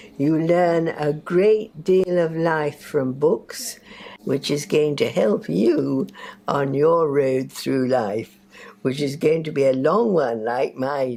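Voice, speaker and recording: The pace is very slow. Noticeable background noise sits behind the voice. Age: 80s+. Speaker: library user. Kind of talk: documentary interview.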